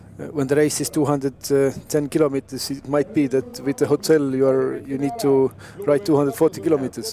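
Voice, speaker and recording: Talking fairly quickly, a man with an Estonian accent uses a fairly high pitch and ordinary pitch variation. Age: young. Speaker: former racing cyclist, co-commentator. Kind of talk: live commentary.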